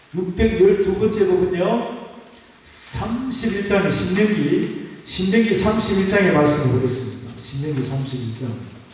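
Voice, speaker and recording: Amid noticeable background noise and audible room echo, a man with a high pitch speaks at a fairly slow pace with lively intonation. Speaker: pastor. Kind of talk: sermon. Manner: call-and-response with congregation.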